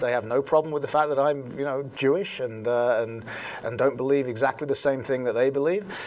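A man with an English accent speaks at a fairly quick pace with ordinary pitch variation. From England. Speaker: talk radio host. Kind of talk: interview answer. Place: studio. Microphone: lapel.

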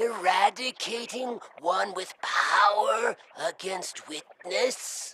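In a put-on character voice, the speaker talks very slowly at a fairly high pitch. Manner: broken, halting speech.

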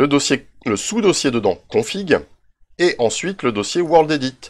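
A man with vocal fry speaks at a fairly slow pace. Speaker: Minecraft YouTuber. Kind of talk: tutorial. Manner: hesitant, many fillers.

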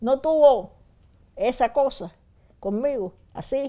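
A woman talks at a high pitch with lively intonation. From Cuba, Havana. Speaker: former political prisoner. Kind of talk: testimony. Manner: halting, with repetitions.

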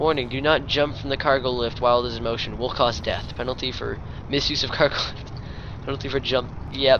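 Noticeable background noise runs through the clip. Over it, a man speaks at a fairly quick pace. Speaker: gaming YouTuber. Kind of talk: casual gameplay commentary. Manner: animated, playful, excitable.

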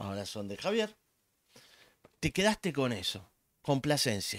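Speaking with a Rioplatense accent, a man uses a fairly high pitch and very wide pitch swings, in a dry sound with no echo against a quiet background. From Argentina. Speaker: economist; guest. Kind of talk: casual chat. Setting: live stream. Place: home room. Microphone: studio mic.

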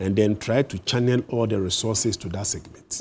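The man has a dark, mellow tone, sounds somewhat breathy, and uses ordinary pitch variation. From Ghana. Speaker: teachers' union leader. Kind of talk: TV interview. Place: studio. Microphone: lapel.

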